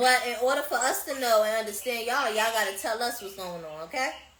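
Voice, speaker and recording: A woman talks at a fairly quick pace with a fairly high pitch and lively intonation, her voice carrying audible room echo. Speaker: podcast host. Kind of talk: casual chat. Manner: loud; animated.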